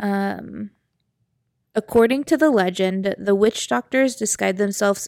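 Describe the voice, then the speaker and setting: In a very clean recording with a silent background and a dry, close sound with no echo, a woman with a medium pitch uses a normal speaking voice at a fairly slow pace. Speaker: podcast co-host. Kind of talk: casual chat.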